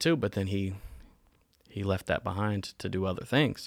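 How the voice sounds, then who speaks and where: A man speaks with an American accent in a plain, everyday voice. His pitch is fairly low and his pace moderate. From North Carolina (Winston-Salem), US South. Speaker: church member. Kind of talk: interview testimony.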